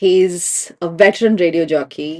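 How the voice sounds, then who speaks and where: A woman's fairly low-pitched voice, an ordinary speaking voice. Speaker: podcast host. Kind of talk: podcast interview questions.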